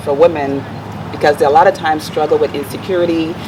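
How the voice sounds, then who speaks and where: A woman speaks at a fairly quick pace with a Virgin Islands accent and a very deep, low pitch. Her intonation is fairly even, and background noise is noticeable. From US Virgin Islands, Saint Thomas. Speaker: motivational speaker and life coach. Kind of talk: interview.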